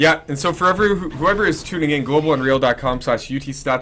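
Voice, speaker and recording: Lively intonation marks a man's very fast speech. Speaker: esports caster. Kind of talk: live commentary. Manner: loud.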